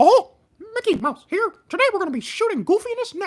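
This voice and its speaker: It's a put-on character voice, squeaky in sound. The pace is fairly quick. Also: man. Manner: cartoonish.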